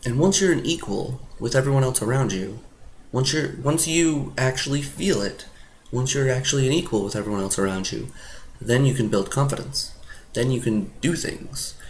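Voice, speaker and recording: A man speaks at a moderate pace with a somewhat breathy, medium-pitched voice. His pitch varies in an ordinary way, and the room echo is audible. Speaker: self-help video maker, social confidence coach. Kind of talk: casual talking-to-camera advice monologue. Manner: halting, with repeated words and false starts; informal, animated.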